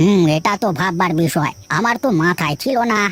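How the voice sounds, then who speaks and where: A man performs a cartoonish character voice. His pitch is high. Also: moderate pace. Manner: mild, patient.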